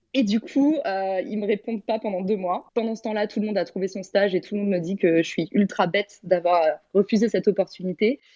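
A woman with a dark, mellow tone and medium pitch talks at a fairly quick pace, with ordinary pitch variation. The sound is dry and close with no echo, over a quiet background. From Paris, France. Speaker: entrepreneur and teacher. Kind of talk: interview. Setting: audio chat room.

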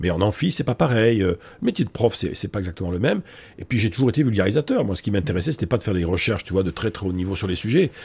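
At a very fast pace, a man speaks with lively intonation and a somewhat breathy voice. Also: fairly low pitch for a man. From Bordeaux, France. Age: 60s. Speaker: psychology professor and public speaker. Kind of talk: casual interview. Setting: office. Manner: hesitant, many fillers.

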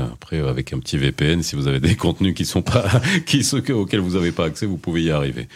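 Noticeable background noise behind a man's lively intonation. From Moroccan diaspora in Belgium. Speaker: radio host. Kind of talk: radio talk show. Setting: studio. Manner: animated.

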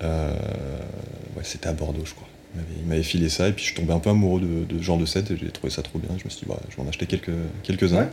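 Very deep and low, a man's voice shows vocal fry. He speaks at a fairly quick pace with fairly even intonation. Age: 20s. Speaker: Lego fan community founder. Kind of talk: interview. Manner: halting.

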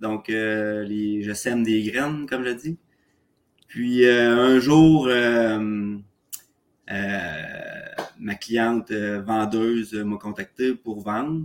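A man in a Quebec accent at a very slow pace, with ordinary pitch variation. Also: medium pitch for a man. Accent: Québécois French. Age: 30s. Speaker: real estate investor, contractor. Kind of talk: casual interview. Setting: remote call from condo. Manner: halting, many fillers.

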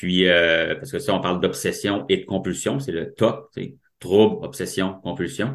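A man with a Quebec accent at a fairly low pitch and fairly slow pace, lively intonation and big swings in loudness, in a quiet background. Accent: Québécois French. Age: 40s. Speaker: mental health advocate with OCD. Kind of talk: personal testimony interview. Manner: halting, repeats words.

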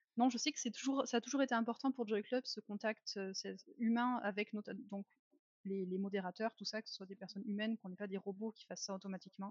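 Very fast and somewhat breathy, a woman with a fairly high pitch keeps fairly even intonation while her loudness swings widely. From France. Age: 30s. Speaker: marketing employee of a dating platform. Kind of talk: casual interview.

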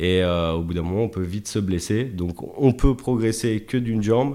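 This man has an unremarkable speaking voice with a fairly low pitch, ordinary pitch variation and a moderate pace. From Chablais, Haute-Savoie, France. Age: 30s. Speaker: football freestyler. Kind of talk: casual interview.

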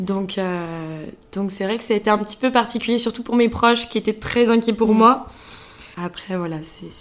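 This woman has an unremarkable speaking voice, pitched fairly high. She talks at a moderate pace with ordinary pitch variation. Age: 20s. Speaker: business school student. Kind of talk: interview.

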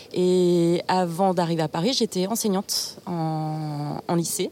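A woman speaks with a fairly low pitch. Noticeable background noise runs beneath her voice. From Burgundy, France. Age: 30s. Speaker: communications officer, former teacher. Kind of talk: casual interview. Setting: outdoors in a park.

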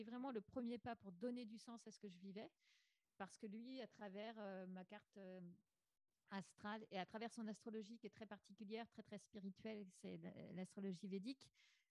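A woman talks at a moderate pace, her medium pitch carried by fairly even intonation. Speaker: podcaster. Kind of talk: interview testimony.

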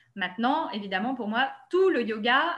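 At a fairly slow pace, a woman speaks in a fairly high pitch with a bright, sharp tone. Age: 30s. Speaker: yoga therapist. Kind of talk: interview.

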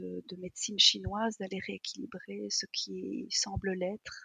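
A woman speaks at a very slow pace in a somewhat breathy voice, the sound dry and close with no echo. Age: 50s. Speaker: energy therapist. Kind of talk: casual chat.

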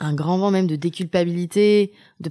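Fairly low female speech, dark and mellow in tone. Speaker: podcast host. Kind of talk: casual interview conversation.

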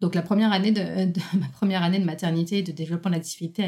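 The tone is dark and mellow, and somewhat breathy. Intonation stays fairly even. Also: woman. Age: 30s. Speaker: self-employed entrepreneur and coach. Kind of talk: casual interview conversation.

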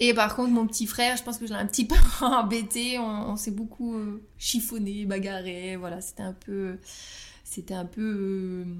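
At a moderate pace, a woman with a fairly high pitch and fairly even intonation speaks with big swings in loudness. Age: 30s. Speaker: astrologer. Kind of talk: personal interview testimony. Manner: hesitant, many fillers and repetitions.

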